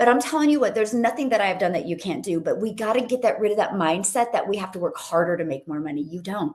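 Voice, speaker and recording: A woman talks very fast at a medium pitch. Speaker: online business coach. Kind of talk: live stream training. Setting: livestream on TikTok and YouTube. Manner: animated.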